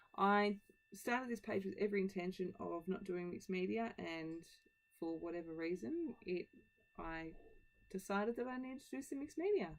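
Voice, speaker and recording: Speaking with an Australian accent, a woman at medium pitch moves at a fairly quick pace with lively intonation and long, frequent pauses. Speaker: scrapbooking video creator. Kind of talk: tutorial voiceover. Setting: home voiceover.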